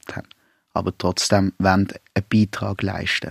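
Fairly low-pitched man at a moderate pace, fairly even intonation, dry and close with no echo. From Basel, Switzerland. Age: 30s. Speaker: primary school teacher and anti-racism activist. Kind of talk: radio interview and moderation.

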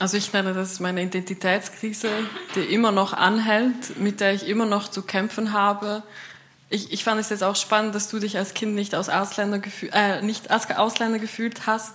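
Over noticeable background noise, a woman speaks at a moderate pace in a medium pitch with monotone, flat intonation. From Switzerland, St. Gallen Rhine Valley. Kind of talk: panel discussion.

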